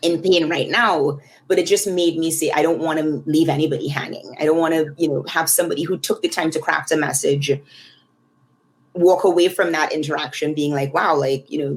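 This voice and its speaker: Speaking at a fairly quick pace with a Trinidadian accent, a woman keeps a very deep, low pitch and fairly even intonation. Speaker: tech research leader. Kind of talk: podcast interview. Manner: hesitant, many fillers.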